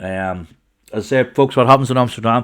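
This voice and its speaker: On a very clean recording with a silent background, a man with a Northern Irish accent talks at a moderate pace in an animated tone with ordinary pitch variation. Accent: Northern Irish (Armagh). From Northern Ireland, County Armagh. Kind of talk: casual chat.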